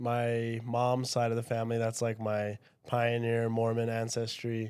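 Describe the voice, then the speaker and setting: On a very clean recording with a silent background, a man with a Utah accent speaks at a medium pitch and a fairly slow pace. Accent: Utah American English. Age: 20s. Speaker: podcast guest, religious apologist. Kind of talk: casual chat.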